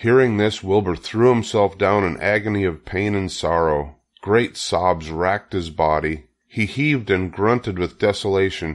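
A man speaks low in pitch, with ordinary pitch variation. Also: fairly slow pace.

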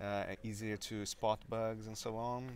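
Here a man speaks with a Brazilian accent. The recording is dry, with no echo. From Brazil (Maringá, Paraná). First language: Portuguese. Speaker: software developer and conference speaker. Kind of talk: interview. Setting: conference venue. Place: meeting room.

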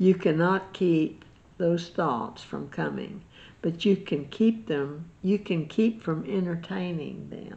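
Speaking at a very slow pace, a woman has a fairly low pitch, a dark, mellow tone, vocal fry and ordinary pitch variation. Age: 80s+. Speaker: Bible teacher. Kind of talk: Bible study chat; informal religious teaching talk. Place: home room. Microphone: webcam.

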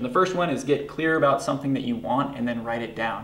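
In audible room echo, a man speaks with ordinary pitch variation. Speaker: guest. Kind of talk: interview answer. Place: studio.

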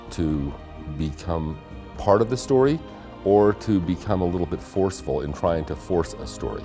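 A man speaks with lively intonation and a very deep, low pitch. Clear music plays in the background. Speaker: former television news anchor and documentary narrator. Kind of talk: interview answer, casual talk to camera. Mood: warm, appreciative. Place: studio. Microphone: lapel.

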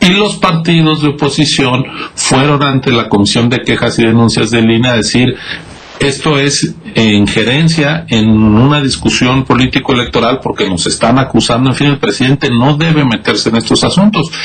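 Light background noise accompanies a man with a medium pitch and ordinary pitch variation. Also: moderate pace, very even loudness. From Mexico. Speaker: electoral official; council guest. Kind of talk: news interview. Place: home room. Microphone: video call.

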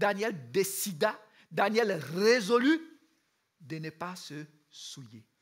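Against a quiet background, a man speaks at a very slow pace with long, frequent pauses. His pitch swings very widely. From Ivory Coast. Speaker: youth camp speaker; speaker. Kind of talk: sermon. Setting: youth camp with audience. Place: stage.

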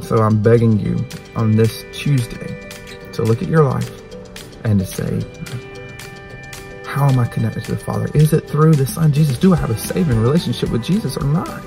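A man at a fairly quick pace, dry sound with no echo, clear music in the background. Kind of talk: devotional sermon-like vlog talk. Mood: earnest, urging. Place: car. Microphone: phone near.

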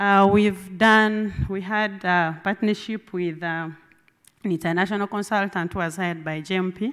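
A woman talks at a very slow pace. The background is quiet. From Uganda. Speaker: government water ministry official. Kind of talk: conference presentation. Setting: conference meeting room with audience. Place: meeting room.

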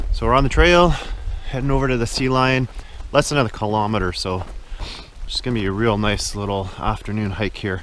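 Light background noise accompanies a man speaking at a fairly quick pace. His pitch varies in an ordinary way, and the sound is dry, with no echo. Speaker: hiker vlogger. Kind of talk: casual vlog chat. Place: forest. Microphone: phone near.

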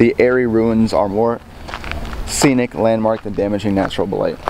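The sound is dry with no echo, though background noise is noticeable. A man talks at a moderate pace. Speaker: vlogger. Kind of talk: casual vlog chat. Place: open country. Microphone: phone near.

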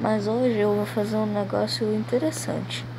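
A woman speaks quietly amid audible room echo. There is noticeable background noise. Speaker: gaming youtuber. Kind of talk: gameplay commentary. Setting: at home in a hammock. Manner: speaking quietly.

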